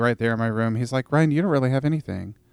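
This man talks with a Pacific Northwest accent and ordinary pitch variation. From US Pacific Northwest, Vancouver, Washington. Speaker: youth ministry worker and former engineer. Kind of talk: casual interview. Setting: studio. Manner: animated.

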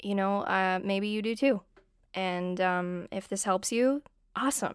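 A woman speaks at a very slow pace in a medium pitch with fairly even intonation, recorded very cleanly against a silent background. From Southern California, San Diego. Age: 20s. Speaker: podcast host and musician. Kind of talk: solo podcast monologue, personal reflection. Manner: casual, frequent ums and fillers.

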